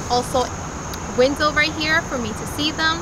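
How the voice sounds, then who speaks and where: The speech moves at a fairly quick pace. Noticeable background noise is present. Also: woman. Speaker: parent reviewer. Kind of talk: product review tutorial. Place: open country.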